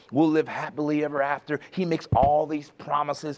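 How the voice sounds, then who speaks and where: Animated in tone, a man with a fairly high pitch talks at a fairly quick pace against noticeable background noise. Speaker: preacher. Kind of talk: sermon. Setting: church. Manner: rhetorical, exhortative.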